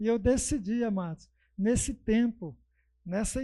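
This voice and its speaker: Fairly slow speech from a man with a high pitch and a dark, mellow tone. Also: quiet background. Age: 50s. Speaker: guest preacher. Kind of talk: sermon.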